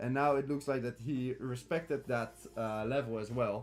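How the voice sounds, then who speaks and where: A man at medium pitch with ordinary pitch variation and a fairly quick pace, over music in the background. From Netherlands. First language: Dutch. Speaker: crypto trading streamer. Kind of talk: live stream chart analysis with chat. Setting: live stream. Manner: halting, many fillers.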